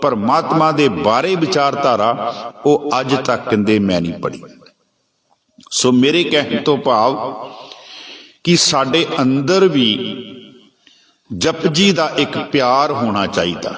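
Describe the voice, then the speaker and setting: A man with a Punjabi accent and a fairly high pitch, lively intonation, long, frequent pauses and audible room echo. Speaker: Sikh preacher. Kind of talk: sermon.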